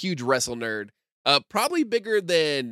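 Recorded very cleanly with a silent background and a dry, close sound with no echo, a man speaks in a fairly high pitch with a bright, sharp tone. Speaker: podcast host. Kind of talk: casual chat.

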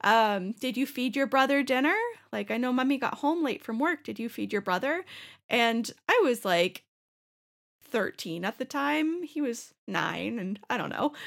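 In a very clean recording with a silent background, a woman talks at a fairly slow pace with a high pitch and very wide pitch swings. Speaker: podcast host. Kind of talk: casual chat. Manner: animated.

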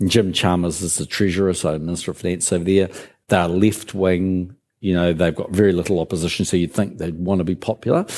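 The speaker talks very fast with a New Zealand accent. The intonation stays monotone and flat. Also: man, very deep, low pitch for a man. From New Zealand, Christchurch. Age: 60s. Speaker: business leader. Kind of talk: interview on stage.

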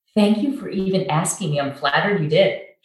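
At a fairly quick pace, a woman speaks with lively intonation amid audible room echo. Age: 50s. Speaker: church and community leader. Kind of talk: casual interview.

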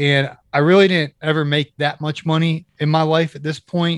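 In a Midwestern American accent, a man speaks at a moderate pace, the sound dry and close with no echo. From Ohio, Kent/Akron area. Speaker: podcast host and author. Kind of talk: casual chat. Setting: video call.

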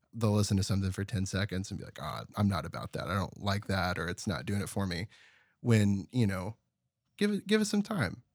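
On a very clean recording with a silent background, a man speaks at a fairly quick pace and a fairly low pitch, with ordinary pitch variation. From Terrell, Texas. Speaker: audio producer and musician. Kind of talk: casual interview. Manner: reserved, few words.

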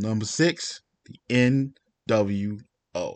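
Over a quiet background, a man talks very slowly with ordinary pitch variation, the sound dry and close with no echo. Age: 30s. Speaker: podcast host. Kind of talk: casual solo podcast monologue. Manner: animated.

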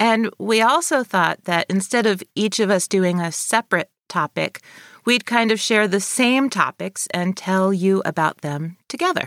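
A woman with a slight Northern New York accent speaks at a fairly slow pace in a dry, close sound with no echo, on a very clean recording with a silent background. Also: medium pitch for a woman, ordinary pitch variation. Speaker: podcast co-host. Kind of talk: casual chat with scripted narration.

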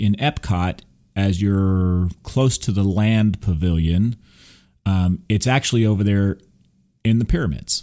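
A man with an American accent speaks fairly slowly in a fairly low, dark, mellow voice, in a very clean recording with a silent background. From Texas. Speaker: podcast host. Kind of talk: casual chat.

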